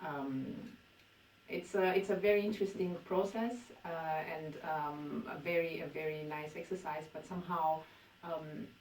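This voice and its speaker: A woman with a Romanian accent talks at a moderate pace and a fairly low pitch, with ordinary pitch variation, big swings in loudness, and long, frequent pauses. Audible room echo and noticeable background noise fill the recording. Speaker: poet. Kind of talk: interview. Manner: halting.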